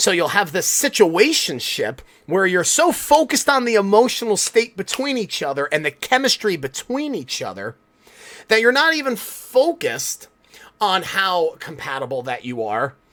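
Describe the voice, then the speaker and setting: A man speaks loudly in a high voice with an animated tone. His pitch swings very widely. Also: moderate pace. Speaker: podcast host. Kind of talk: solo podcast monologue.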